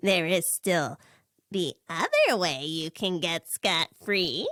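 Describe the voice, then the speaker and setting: A female-sounding put-on character voice at a middle pitch drags along at a very slow pace. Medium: read story. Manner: pompous, gloating.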